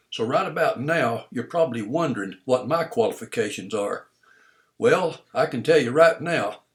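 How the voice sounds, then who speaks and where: This man's fairly high voice, marked by vocal fry, makes very wide pitch swings at a moderate pace. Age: 70s. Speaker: retired small business owner. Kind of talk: recorded monologue of advice.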